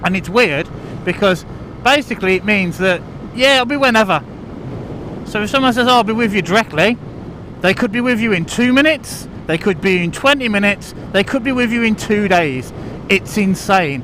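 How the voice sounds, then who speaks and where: Over noticeable background noise, a man with a high pitch and lively intonation talks at a fairly quick pace, broken by long, frequent pauses. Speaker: vlogger. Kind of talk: casual vlog monologue. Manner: rambling, halting. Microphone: muffled audio from inside helmet.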